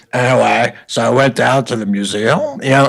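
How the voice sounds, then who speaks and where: Putting on a character voice, a man speaks in a gravelly tone at a medium pitch and a moderate pace. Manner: ranting, loud.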